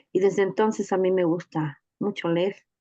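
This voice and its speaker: In a Mexican accent, a woman speaks fairly slowly with a dark, mellow tone, medium pitch and ordinary pitch variation. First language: Nahuatl (speaking Spanish). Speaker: teacher and reading mediator. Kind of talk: testimony in a teachers' workshop session.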